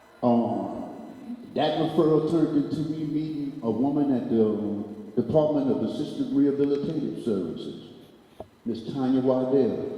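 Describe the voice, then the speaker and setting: Heard through audible room echo and noticeable background noise, a man speaks at a fairly high pitch. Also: ordinary pitch variation, moderate pace. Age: 60s. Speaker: panel speaker in recovery. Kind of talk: prepared speech.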